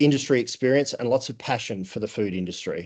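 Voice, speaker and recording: Over a quiet background, a man with an Australian accent speaks at a medium pitch. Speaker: food safety trainer and auditor. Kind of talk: conference presentation. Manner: halting, many fillers.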